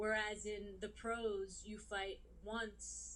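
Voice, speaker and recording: Audible room echo surrounds a voice with a New York accent. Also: woman. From US Northeast, New York City. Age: 30s. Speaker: boxer. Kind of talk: interview. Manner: casual, many fillers.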